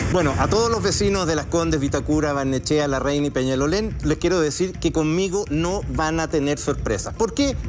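Background noise is noticeable as a man with a fairly high voice speaks at a moderate pace with hardly any pauses. His loudness stays very even and his pitch varies in an ordinary way. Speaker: political candidate. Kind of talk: televised debate.

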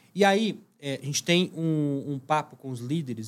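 A man speaks with a fairly high pitch and ordinary pitch variation. It is a plain, everyday voice. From Minas Gerais, Brazil (Uberlândia). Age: 30s. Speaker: startup CEO. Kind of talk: interview.

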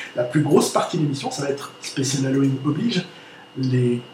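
Audible room echo colors this man's voice. Noticeable noise sits in the background too. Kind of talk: casual chat.

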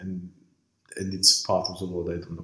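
Here a man is talking. He speaks with a French accent. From Lebanon, raised in France. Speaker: startup incubator co-founder and author. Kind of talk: interview. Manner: halting, many fillers and repetitions.

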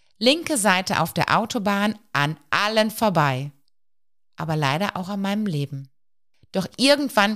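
The recording is very clean, with a silent background. A woman at medium pitch speaks fairly slowly, her pitch swinging very widely. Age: 40s. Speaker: psychological counselor and podcast host. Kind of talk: personal storytelling monologue.

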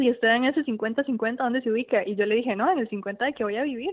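This woman's pitch is high and varies in an ordinary way. She talks at a fairly quick pace. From Costa Rica, Tibás. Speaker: cancer survivor. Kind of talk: interview. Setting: phone call. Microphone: old landline phone.

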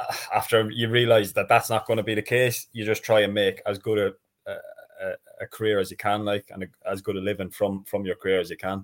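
A man talks with an Irish accent. His pace is fairly quick. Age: 30s. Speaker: professional footballer. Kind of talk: casual chat.

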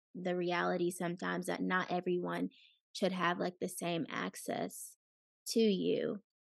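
A woman speaks in a dry, close sound with no echo. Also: quiet background. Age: 20s. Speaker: podcast co-host. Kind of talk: casual chat.

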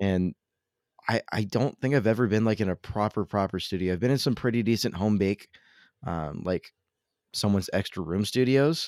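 A man with a Californian accent speaks at a moderate pace and fairly low pitch with ordinary pitch variation, in a dry, close, echo-free recording that is very clean with a silent background. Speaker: podcast host. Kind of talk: casual chat.

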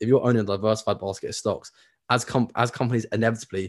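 Against a quiet background, a man with a British accent speaks at a very fast pace in a monotone, flat intonation. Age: 20s. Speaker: personal finance educator. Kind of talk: interview.

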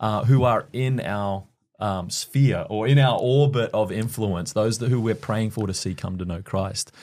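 The recording is very clean, with a silent background. A man with an Australian accent speaks at medium pitch and a moderate pace. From Queensland, Australia. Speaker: church leader. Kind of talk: podcast interview.

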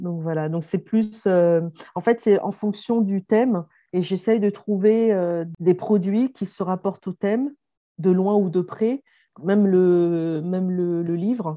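A woman's voice of medium pitch with ordinary pitch variation. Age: 40s. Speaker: entrepreneur. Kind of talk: interview. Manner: hesitant with fillers.

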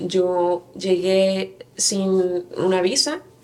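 A woman talks with noticeable noise in the background. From Mexico, Querétaro. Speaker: church member, women's teacher. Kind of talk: interview testimony.

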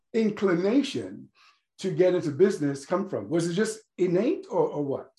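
A man speaks with a dark, mellow tone and lively intonation. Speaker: podcast host. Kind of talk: interview.

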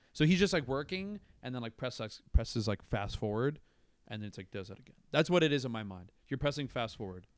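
A man's medium-pitched voice in an American accent, very fast, with very wide pitch swings and big swings in loudness, in a very clean recording with a silent background. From Florida, Tampa area. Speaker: comedian. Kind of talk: casual chat. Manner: halting.

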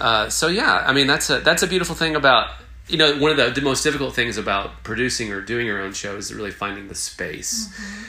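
A man with an American accent speaks very fast at a fairly high pitch, with very wide pitch swings, big swings in loudness and audible room echo. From US South (Southwest Virginia, East Tennessee). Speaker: theatre owner and playwright. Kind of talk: casual interview chat. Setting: on location.

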